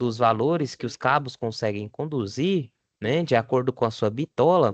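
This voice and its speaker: Here a man with a plain, everyday voice speaks at a fairly slow pace and medium pitch, with lively intonation and a dry, close sound with no echo. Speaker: vocational course teacher. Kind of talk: online lecture.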